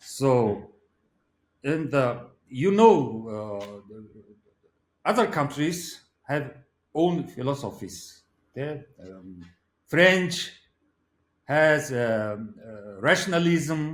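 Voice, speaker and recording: A man with a Mongolian accent at a fairly high pitch, very slow with long, frequent pauses, very wide pitch swings and big swings in loudness, with audible room echo. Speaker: philosopher. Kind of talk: interview. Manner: halting.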